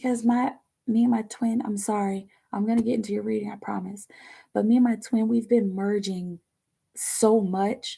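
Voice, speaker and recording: At a moderate pace, a woman speaks in a somewhat breathy voice with a fairly high pitch and flat, monotone intonation. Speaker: tarot reader. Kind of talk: live tarot reading. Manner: chatty, halting.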